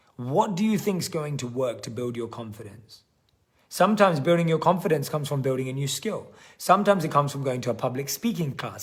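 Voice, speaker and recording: The delivery is very fast with lively intonation. The voice sounds somewhat breathy. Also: man. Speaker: online workshop coach. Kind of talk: live webinar coaching.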